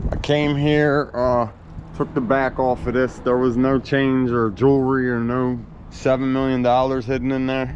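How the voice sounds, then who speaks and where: A man with an American accent speaks at a medium pitch in a monotone, flat way, over noticeable background noise. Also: moderate pace. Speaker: scrap metal collector vlogger. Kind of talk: casual vlog narration.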